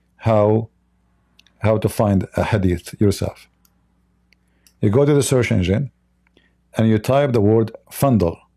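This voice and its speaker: Recorded with a dry, close sound and no echo, a man with a fairly low pitch speaks at a fairly slow pace with long, frequent pauses, very even loudness and ordinary pitch variation. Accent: non-native. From Middle East. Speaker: religion critic, livestream host. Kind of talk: livestream commentary. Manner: halting, many fillers and repetitions.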